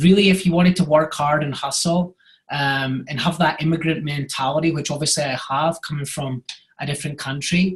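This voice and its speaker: Speaking at a fairly quick pace, a man with a Scottish accent has a fairly high pitch and fairly even intonation. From Scotland. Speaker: real estate agent. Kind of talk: podcast interview.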